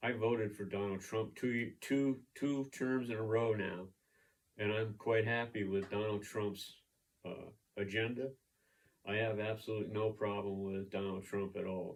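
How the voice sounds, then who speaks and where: A man's fairly low pitch in a monotone, flat intonation at a moderate pace. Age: 70s. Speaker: political vlogger. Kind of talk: opinion rant monologue.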